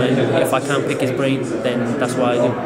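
A man speaks at moderate speed while loud background noise carries on. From Wales, Cardiff. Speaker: professional boxer. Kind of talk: post-fight interview. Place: hall.

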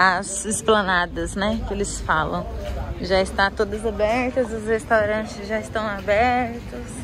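A woman talks at a fairly slow pace. The sound is dry with no echo, and there is noticeable background noise. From Brazil, Presidente Prudente, São Paulo state; São Paulo state, Brazil. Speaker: vlogger. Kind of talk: casual vlog. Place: street. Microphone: phone near.

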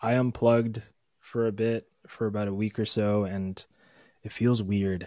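A man with a fairly low pitch and a dark, mellow tone speaks at a moderate pace with monotone, flat intonation and long, frequent pauses. The sound is dry with no echo, over a quiet background. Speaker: podcast co-host; podcast host. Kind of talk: casual chat. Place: home room. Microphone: studio mic.

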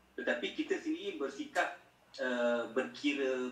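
Amid audible room echo, a man with a Malaysian accent speaks at a moderate pace. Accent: Malaysian Malay. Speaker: Islamic scholar and teacher; teacher. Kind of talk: lecture. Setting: video call. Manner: soft-spoken. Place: home room.

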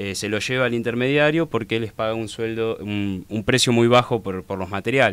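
The speaker has a Rioplatense accent and ordinary pitch variation, moving at a moderate pace with hardly any pauses. The sound is dry, with no echo. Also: man. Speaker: social activist. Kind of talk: radio interview. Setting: studio. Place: studio. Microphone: studio mic.

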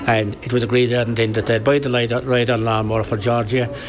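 A man with a Kerry accent, medium in pitch, at a moderate pace amid noticeable background noise. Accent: Irish (Kerry). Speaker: local football league secretary. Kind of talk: interview reminiscence. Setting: outdoor event recording.

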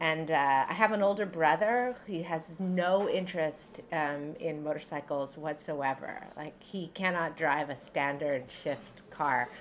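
A woman's very deep, low voice at a fairly slow pace, with ordinary pitch variation, hardly any pauses and light background noise. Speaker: novelist. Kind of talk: author talk. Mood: relaxed, smiling. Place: cafe. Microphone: camera far.

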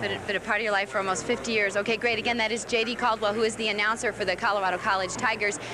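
Very fast, monotone delivery with flat intonation, very even loudness and hardly any pauses, in a dry sound with no echo over noticeable background noise. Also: woman. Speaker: TV reporter conducting interview. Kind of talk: live TV news reporter interview. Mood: subdued, somber tone. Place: stadium. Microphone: handheld.

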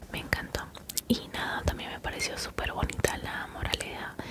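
Over loud background noise, a soft-spoken woman talks at a fairly slow pace. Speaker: home vlogger. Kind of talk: casual vlog chat, soft-spoken storytelling. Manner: soft close-mic ASMR speech. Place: home room. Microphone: studio mic.

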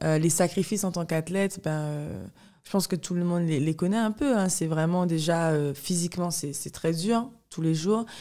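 The recording has a quiet background. A woman with a dark, mellow tone speaks at a fairly low pitch, a moderate pace and ordinary pitch variation. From Guadeloupe. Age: 20s. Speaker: professional fencer; podcast guest. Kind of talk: interview. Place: home room. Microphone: studio mic.

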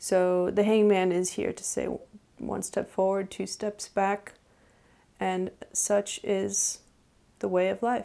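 The pace is very slow. A woman speaks with long, frequent pauses. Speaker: tarot reader. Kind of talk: tarot reading video. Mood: calm, reflective. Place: home room.

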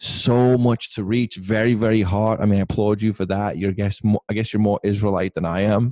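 A man with a fairly low, dark, mellow voice talks at a fairly quick pace in a flat monotone, the sound dry with no echo and the background quiet. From England. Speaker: podcast host and missionary pastor; podcast host, missionary pastor. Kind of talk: casual chat. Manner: fast. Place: home room. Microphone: studio mic.

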